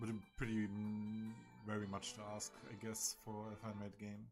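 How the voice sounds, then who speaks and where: A man speaks with a German accent while music plays in the background. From Germany. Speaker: gaming streamer. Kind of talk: casual live stream commentary.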